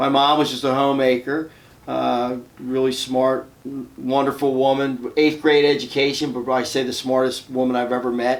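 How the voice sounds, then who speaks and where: With a Philadelphia accent, a man talks at a moderate pace and medium pitch in a monotone, flat intonation. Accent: Philadelphia-area American English. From US Northeast, suburban Philadelphia, Pennsylvania. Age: 60s. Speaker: fitness club owner and entrepreneur. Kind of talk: podcast interview. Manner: conversational, with frequent fillers.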